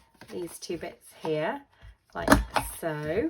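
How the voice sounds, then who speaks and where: A woman speaks in a fairly low voice at a fairly slow pace. Noticeable background noise runs underneath. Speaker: papercraft demonstrator. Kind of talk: tutorial.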